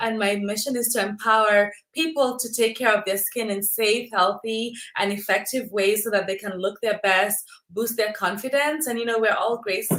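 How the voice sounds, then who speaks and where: A fairly high-pitched woman with a Kenyan accent, speaking at a moderate pace. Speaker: dermatologist. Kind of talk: casual chat. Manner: repeats words, halting.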